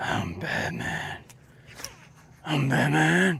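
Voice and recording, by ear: A put-on character voice whispers. It sounds raspy, gravelly and breathy.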